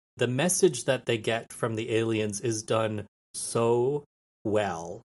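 An unremarkable speaking voice from a man with an American accent, medium in pitch, with ordinary pitch variation, a fairly slow pace and a quiet background. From New Mexico, US. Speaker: former film student, podcaster. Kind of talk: casual chat.

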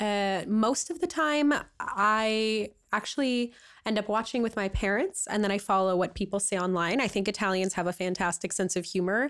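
Speaking at a moderate pace, a woman with a fairly high pitch sounds animated, her pitch varying in an ordinary way. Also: very clean recording, silent background. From Canada. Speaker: podcast guest, recent graduate. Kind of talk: casual chat.

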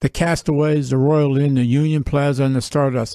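A man talks in an ordinary speaking voice at a moderate pace. His pitch is fairly high. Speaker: sportsbook worker. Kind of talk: casual chat. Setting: studio.

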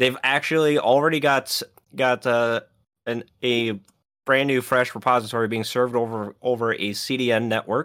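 A man with a normal speaking voice talks at a moderate pace, at a medium pitch with fairly even intonation. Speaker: podcast co-host. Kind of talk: casual chat.

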